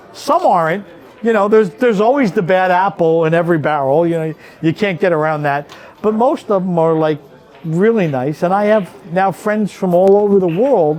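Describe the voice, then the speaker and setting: Music plays in the background as a man speaks at a moderate pace. His pitch is high and his intonation lively. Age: 60s. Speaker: pool referee. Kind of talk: casual interview. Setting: pool hall. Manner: animated storytelling.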